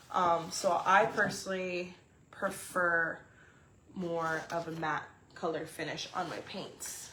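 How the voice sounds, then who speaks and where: Over noticeable background noise and audible room echo, a woman speaks very slowly in a fairly low, monotone, flat voice with big swings in loudness. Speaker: resin artist and gallery owner. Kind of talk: unboxing livestream. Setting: live video stream. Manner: casual with many fillers and self-corrections.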